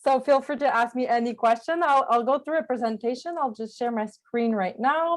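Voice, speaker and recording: With a French accent, a woman talks at a fairly high pitch. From Quebec, small village on the St. Lawrence. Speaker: journalist and peace fellow. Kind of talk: presentation to a club. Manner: halting.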